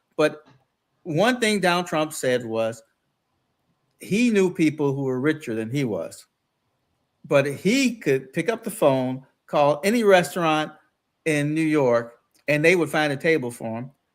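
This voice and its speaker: With a fairly high pitch, a man speaks at a fairly slow pace with lively intonation and long, frequent pauses, on a very clean recording with a silent background. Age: 60s. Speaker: former local politician, guest co-host. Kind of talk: political talk show discussion.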